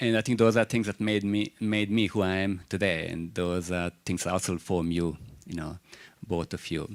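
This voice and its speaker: With a Croatian accent, a man speaks at a moderate pace in a very deep, low pitch and fairly even intonation. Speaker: university chairperson. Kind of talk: speech at an open day. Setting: room with live audience and online stream. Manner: halting, with fillers.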